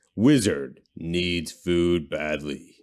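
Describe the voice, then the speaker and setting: In a put-on character voice, a man speaks very deep and low, recorded very cleanly against a silent background. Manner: booming, dramatic.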